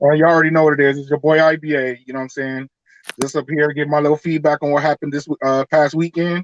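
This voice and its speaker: A man's fairly high-pitched, very fast, monotone voice in a dry, close sound with no echo. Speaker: sneaker YouTuber. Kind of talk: casual chat.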